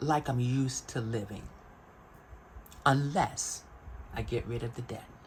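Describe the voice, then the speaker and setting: A somewhat breathy woman's voice. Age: 60s. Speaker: vlogger. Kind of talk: casual chat.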